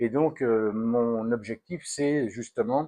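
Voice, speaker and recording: Over a quiet background, a man speaks at medium pitch, the sound dry and close with no echo. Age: 60s. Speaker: health vlogger. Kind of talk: casual chat. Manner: halting, many fillers.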